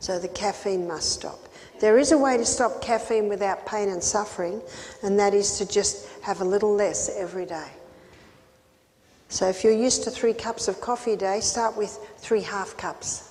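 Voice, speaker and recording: A woman at a moderate pace with fairly even intonation, over noticeable background noise. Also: medium pitch for a woman. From Australia. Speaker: health educator. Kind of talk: health seminar talk.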